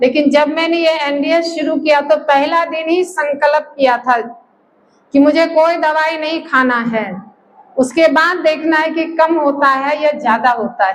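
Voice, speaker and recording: A woman speaks with a high pitch. Her voice shows ordinary pitch variation. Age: 60s. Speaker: health camp participant. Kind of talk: testimony.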